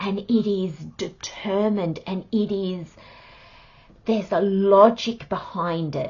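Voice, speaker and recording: Fairly even intonation from a woman at a medium pitch. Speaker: tarot reader. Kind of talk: monthly tarot reading. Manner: loud.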